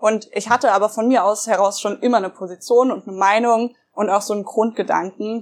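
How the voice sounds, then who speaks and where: A woman's ordinary speaking voice, fairly high in pitch, at a fairly quick pace with fairly even intonation. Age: 20s. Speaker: young party politician. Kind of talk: interview.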